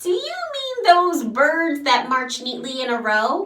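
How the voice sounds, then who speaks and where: A woman in a put-on character voice speaks at a fairly slow pace with a raised, projected voice at a high pitch. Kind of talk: picture book read-aloud to children. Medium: read story. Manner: loud, hearty, playful.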